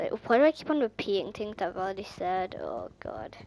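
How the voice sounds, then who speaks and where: Amid noticeable background noise, a woman speaks at a fairly slow pace with a fairly high pitch and lively intonation. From Ireland. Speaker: gaming YouTuber. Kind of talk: casual gameplay commentary. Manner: animated, excitable.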